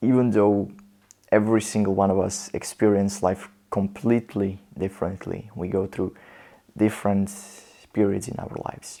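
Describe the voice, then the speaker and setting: A man's fairly low, dark and mellow voice with a non-native accent, monotone and flat, broken by long, frequent pauses, on a very clean recording with a silent background. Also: moderate pace. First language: not English. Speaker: motivational vlogger. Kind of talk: personal storytelling monologue.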